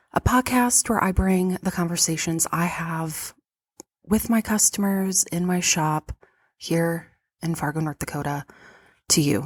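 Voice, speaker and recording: Speaking at a fairly slow pace with long, frequent pauses, a woman uses a fairly low, somewhat breathy voice with ordinary pitch variation in a dry, close sound with no echo. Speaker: podcast host and vintage shop owner. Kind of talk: solo podcast monologue. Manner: animated.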